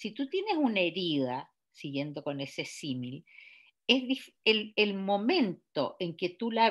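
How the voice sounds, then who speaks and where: A woman at a medium pitch speaks very slowly with very wide pitch swings. The recording is very clean with a silent background. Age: 70s. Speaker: novelist. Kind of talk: author interview. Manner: halting, many fillers and repetitions.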